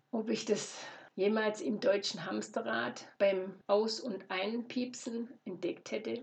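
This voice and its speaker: A woman speaks at a very slow pace. Her pitch shows ordinary variation. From Swabia, Germany (Lorch near Stuttgart). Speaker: podcast host, travel and Nepal. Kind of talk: personal storytelling monologue.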